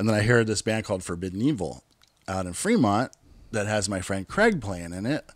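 A man's fairly low voice at a fairly quick clip, with ordinary pitch variation. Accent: Californian. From California, Bay Area (Hayward). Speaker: thrash metal musician. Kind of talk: casual interview.

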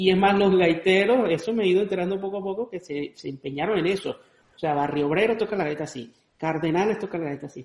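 The man's pitch sits high. He talks at a very fast pace. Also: ordinary pitch variation. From Venezuelan Andes. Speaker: podcast host and cuatro player. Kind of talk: casual chat.

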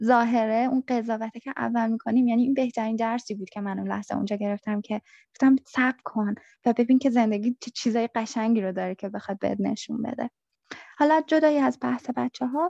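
A woman speaks at a fairly quick pace with a fairly high pitch and fairly even intonation, her tone dark, mellow and somewhat breathy. The sound is dry and close with no echo, over a quiet background. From Iran. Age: 30s. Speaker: returned asylum seeker. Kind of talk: interview testimony.

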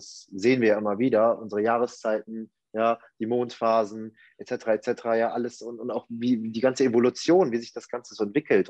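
Medium in pitch, a man talks at a moderate pace with fairly even intonation. The sound is dry and close, with no echo. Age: 20s. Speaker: life coach. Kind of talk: casual interview chat. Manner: halting, many fillers.

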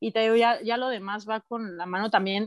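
A woman's fairly high voice in a Mexican accent at a moderate pace. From Mexico, Oaxaca. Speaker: audio engineer and music promoter. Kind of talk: casual chat.

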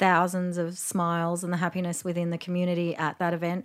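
A very clean recording carries this voice, and the background is silent. The accent is Australian. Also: woman. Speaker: festival founder.

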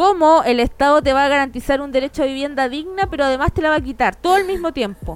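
Music plays in the background as a woman speaks at a very fast pace and a high pitch. Her tone is animated, with ordinary pitch variation. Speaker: lawyer podcast host. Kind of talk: casual chat. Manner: joking, animated.

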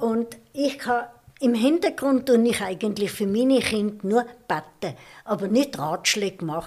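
A woman speaks at a fairly high pitch with lively intonation. Her pace is very slow. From Austria. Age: 80s+. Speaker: retired woman telling her life story. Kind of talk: life-story interview. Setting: living room.

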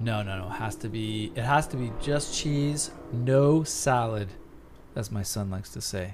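A man with an American accent talks at a fairly slow pace, with medium pitch and ordinary pitch variation. Music plays in the background. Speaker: podcast co-host. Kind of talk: casual comedic banter.

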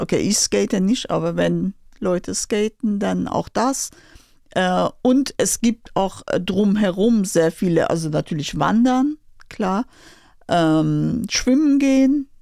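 Very slowly, a woman speaks with a Persian accent, the sound dry and close with no echo. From Iran, Tehran. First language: Persian (speaking German). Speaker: Iranian emigrant, former pharma professional. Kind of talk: interview. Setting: studio.

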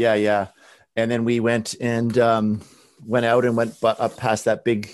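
A man talks with a western Canadian accent. The background is quiet. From Canada, Abbotsford, British Columbia. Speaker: artist and art professor. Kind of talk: interview. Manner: halting, many fillers.

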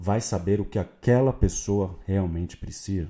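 A man with a Brazilian accent speaks at a very deep, low pitch in a dark, mellow, somewhat breathy tone on a very clean recording with a silent background. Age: 30s. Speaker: sports marketing podcaster. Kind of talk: unscripted solo podcast monologue.

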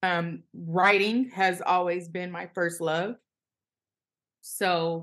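A woman speaks with an American accent. Her intonation is monotone and flat. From Los Angeles. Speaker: journalist. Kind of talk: interview.

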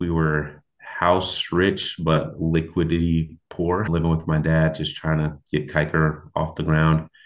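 A man with a West Coast US accent and a very deep, low pitch talks at a very slow pace in a monotone, flat intonation with hardly any pauses. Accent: US West Coast (General American). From Portland, Oregon. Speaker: construction company founder. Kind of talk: interview conversation.

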